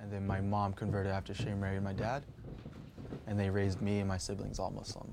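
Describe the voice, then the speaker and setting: A man with an American accent at a very fast pace, monotone and flat in intonation, with audible room echo. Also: fairly low pitch for a man. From New York, the Bronx. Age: 20s. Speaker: skateboarder. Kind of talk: documentary interview. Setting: at home.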